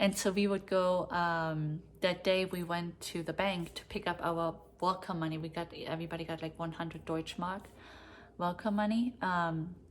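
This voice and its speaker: A woman speaks with a German accent at a fairly low pitch. Her intonation is monotone and flat, and her pace is moderate. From East Berlin, Germany. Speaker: vlogger. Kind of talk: personal storytelling. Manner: hesitant, filler-heavy.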